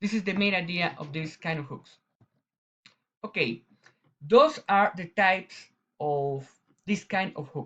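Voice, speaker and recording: A man speaks with a strong Latin American accent in a high-pitched, bright, sharp tone. His pace is fairly slow, with long, frequent pauses and big swings in loudness. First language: Spanish. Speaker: eye surgeon. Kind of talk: conference presentation. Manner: halting.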